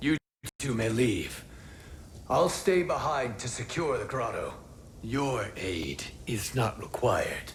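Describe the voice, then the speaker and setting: A man puts on a character voice at a medium pitch. He goes at a fairly slow pace with long, frequent pauses. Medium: video game.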